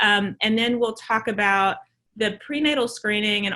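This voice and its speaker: With a Southern US accent, a woman speaks at a moderate pace in a bright, sharp tone with ordinary pitch variation. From US South. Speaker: maternal fetal medicine physician. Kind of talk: lecture.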